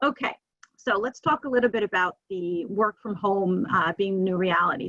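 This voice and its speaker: A woman speaks with a New Jersey accent. Her voice is at medium pitch with ordinary pitch variation. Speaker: webinar speaker on hiring. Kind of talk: webinar presentation. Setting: video call from home office. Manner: fast.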